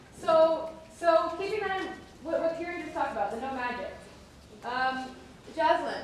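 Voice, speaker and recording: Over noticeable background noise and audible room echo, a woman with an extremely high pitch speaks at a moderate pace with lively intonation, big swings in loudness and long, frequent pauses. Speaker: theatre workshop facilitator. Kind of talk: live facilitation of audience dialogue. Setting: stage with audience.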